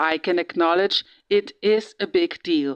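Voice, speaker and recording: A woman speaks with a German accent at a medium pitch. The sound is dry and close, with no echo. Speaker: true crime vlogger. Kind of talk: casual monologue. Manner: halting, many fillers.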